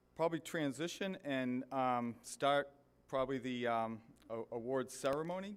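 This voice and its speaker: A man's medium-pitched voice in a Boston accent, with ordinary pitch variation, on a very clean recording with a silent background. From US Northeast, Boston area. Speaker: government official. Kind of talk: ceremony speech. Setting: stage with audience. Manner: halting, many fillers.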